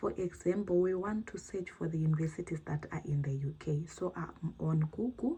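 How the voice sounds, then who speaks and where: A woman speaks in a fairly low, somewhat breathy voice with a dark, mellow tone. She keeps a moderate pace with hardly any pauses and ordinary pitch variation. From Zimbabwe. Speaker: YouTuber, postgraduate student. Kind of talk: advice talk / tutorial vlog. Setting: sit-down video, screen demo.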